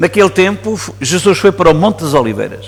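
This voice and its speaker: A man speaks with a European Portuguese accent over noticeable background noise. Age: 60s. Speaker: priest. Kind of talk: sermon. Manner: halting.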